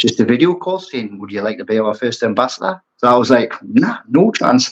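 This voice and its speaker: The speaker has a strong Geordie accent and a fairly quick pace. The intonation is lively, with big swings in loudness. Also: man, medium pitch for a man. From Newcastle, northeast England. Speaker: aquascaper and brand ambassador. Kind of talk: casual chat.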